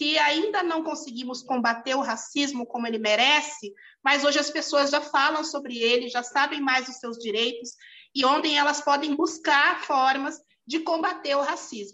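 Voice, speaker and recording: A woman projects a raised voice, high in pitch and bright and sharp in tone, with ordinary pitch variation. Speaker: lawyer and municipal official. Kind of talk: interview. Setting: video call.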